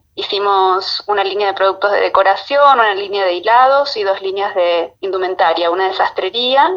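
The woman speaks at a moderate pace, her medium pitch showing ordinary variation. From Argentina, Buenos Aires coast (Mar de Ajó). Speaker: fashion designer. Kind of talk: interview. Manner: hesitant, with repetitions.

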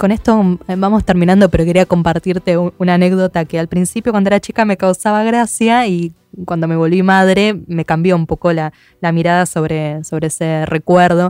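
Over music in the background, a woman with a fairly low voice speaks with an Argentine accent. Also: fairly even intonation, moderate pace. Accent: Argentine Spanish (Rioplatense). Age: 30s. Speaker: podcast host. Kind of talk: scripted narration; interview.

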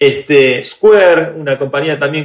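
In a Rioplatense accent, a man talks at a moderate pace with a fairly high pitch. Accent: Argentine Rioplatense Spanish. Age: 30s. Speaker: tech entrepreneur and activist. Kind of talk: interview conversation.

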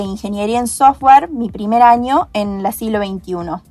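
Noticeable background noise runs behind a woman's voice. She speaks fairly high with ordinary pitch variation. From Argentina, Córdoba province (Hernando). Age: young. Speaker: software engineering student. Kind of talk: podcast interview. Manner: hesitant, many fillers.

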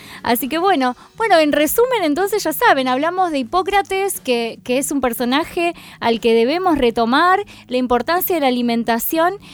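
Over music in the background, a woman with a high pitch speaks at a moderate pace with very wide pitch swings. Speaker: podcast host. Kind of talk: casual interview chat.

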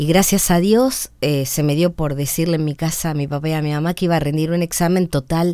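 A woman speaks with a very deep, low pitch and a dark, mellow tone. She talks at a fairly quick pace with hardly any pauses. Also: ordinary pitch variation. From Argentina, San Pedro. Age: 60s. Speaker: radio announcer and comedic impressionist. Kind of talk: radio interview.

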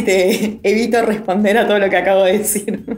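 The speech moves at a moderate pace with monotone, flat intonation, with audible room echo and noticeable background noise. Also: woman. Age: 40s. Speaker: podcast co-host. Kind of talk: podcast interview.

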